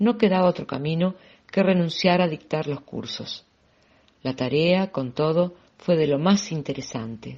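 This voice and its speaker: A woman speaks at a fairly low pitch in a normal speaking voice. Her pace is fairly slow. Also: lively intonation. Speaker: audiobook reader. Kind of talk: audiobook reading.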